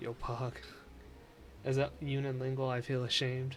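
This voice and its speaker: A man with an American accent speaks fairly slowly at medium pitch. Noticeable background noise runs under his voice. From United States. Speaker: gaming streamer. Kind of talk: live gameplay stream chat. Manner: casual, reacting to chat.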